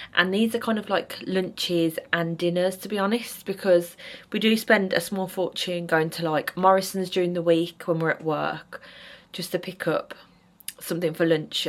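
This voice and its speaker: A woman with an English accent speaks at a fairly low pitch with fairly even intonation. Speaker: vlogger. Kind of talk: casual vlog talk. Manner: chatty.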